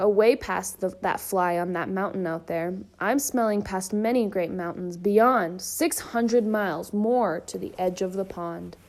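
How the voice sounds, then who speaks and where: Putting on a growling, gruff character voice, a woman talks at a medium pitch and a moderate pace with hardly any pauses. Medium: read story. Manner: blustering.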